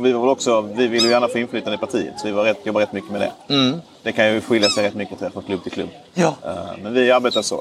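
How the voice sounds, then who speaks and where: Speaking very fast, a man uses a medium pitch with ordinary variation. Background noise is noticeable behind him. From southern Sweden, Skåne (Ystad). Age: 20s. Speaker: member of parliament. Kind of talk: interview. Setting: outdoors.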